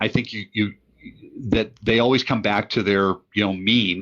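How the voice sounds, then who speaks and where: Ordinary pitch variation marks this man's fairly quick speech. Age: 60s. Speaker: financial expert guest. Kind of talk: interview. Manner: halting.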